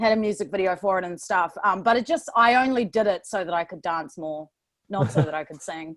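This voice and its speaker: In a very clean recording with a silent background, a woman with a New Zealand accent talks at a fairly quick pace. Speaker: dancer and choreographer. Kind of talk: casual chat.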